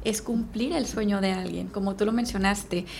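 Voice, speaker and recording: A woman with an ordinary speaking voice, fairly high pitch and ordinary pitch variation. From Mexico, Veracruz. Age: 30s. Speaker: real estate sales manager. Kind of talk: podcast interview.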